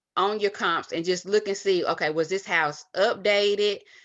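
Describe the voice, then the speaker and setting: Against a quiet background, a woman is speaking. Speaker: real estate investor. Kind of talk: tutorial. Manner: halting, many fillers; fast. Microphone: webcam.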